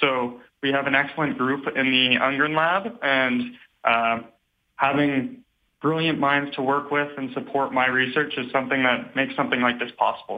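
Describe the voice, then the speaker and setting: An ordinary speaking voice from a man, fairly high-pitched, with fairly even intonation at a moderate pace. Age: 20s. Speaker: PhD student. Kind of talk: radio interview.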